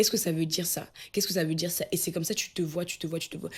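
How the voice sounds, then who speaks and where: A somewhat breathy woman's voice at medium pitch, going at a very fast pace. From Cameroon. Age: 20s. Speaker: personal development coach. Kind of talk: motivational talk to camera.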